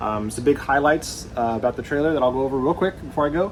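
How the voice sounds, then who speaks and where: Against noticeable background noise, a man speaks very fast with ordinary pitch variation. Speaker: RV YouTuber. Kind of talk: video tour. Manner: casual, halting with fillers.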